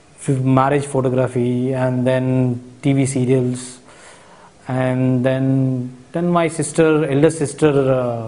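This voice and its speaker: In a Marathi accent, a man speaks at a very slow pace. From India, Hyderabad. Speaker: cinematographer. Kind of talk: interview. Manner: halting, many fillers.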